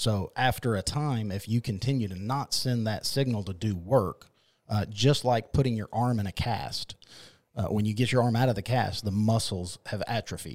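This man has an ordinary speaking voice, medium in pitch with ordinary pitch variation, at a moderate pace on a very clean recording with a silent background. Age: 40s. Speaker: men's health clinic worker. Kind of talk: interview.

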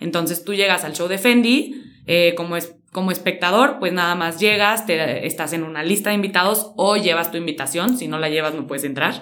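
Fairly quick and with hardly any pauses, a woman speaks in a fairly low pitch. There is audible room echo and noticeable background noise. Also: ordinary pitch variation. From Mexico, San Luis Potosí. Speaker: fashion stylist and content creator. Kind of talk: interview.

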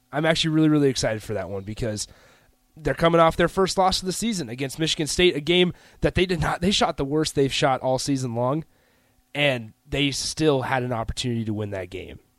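On a very clean recording with a silent background, a man speaks very fast at a fairly high pitch with lively intonation. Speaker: radio co-host and producer. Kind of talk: casual chat. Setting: studio.

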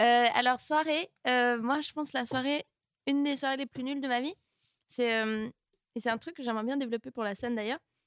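Recorded with a dry, close sound and no echo, a woman speaks at a high pitch and a moderate pace with ordinary pitch variation. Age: 20s. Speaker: stand-up comedian. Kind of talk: casual chat.

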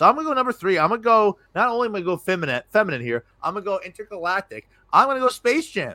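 Raised and projected, a man's high, bright, sharp voice races at a very fast pace with lively intonation and hardly any pauses, the sound dry and close with no echo on a very clean recording with a silent background. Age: 30s. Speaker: podcast host. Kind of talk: casual chat. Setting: live stream.

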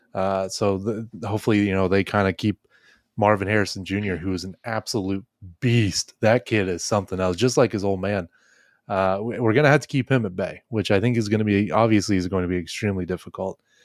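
A man's ordinary speaking voice, fairly low in pitch, at a fairly quick pace with fairly even intonation, in a very clean recording over a silent background. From Ohio, Dayton area. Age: 20s. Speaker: sports podcast host. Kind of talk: casual chat.

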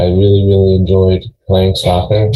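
A man with an American accent speaks at a moderate pace in a very deep, low, somewhat breathy voice. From Long Island, New York. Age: 40s. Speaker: gym owner. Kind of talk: interview.

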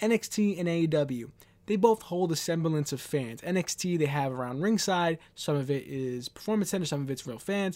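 In a very clean recording over a silent background, a man with an American accent speaks at a fairly quick pace and a high pitch, with lively intonation. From New York City, Queens. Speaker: wrestling podcast host. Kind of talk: solo podcast commentary. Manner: rambling, conversational.

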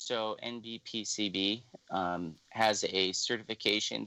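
An American-accented man speaks at a fairly low pitch with fairly even intonation and a bright, sharp tone. The sound is dry and close with no echo, on a very clean recording with a silent background. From Illinois, US Midwest. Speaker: blind cane travel instructor. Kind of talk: interview.

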